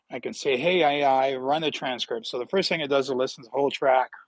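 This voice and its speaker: A man with a Northern Ontario accent speaks at a fairly high pitch with ordinary pitch variation. The sound is dry and close, with no echo. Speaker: health vlogger with atrial fibrillation. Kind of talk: casual livestream talk. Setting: outdoors in backyard. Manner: repetitive, stammering restarts. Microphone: new tablet setup.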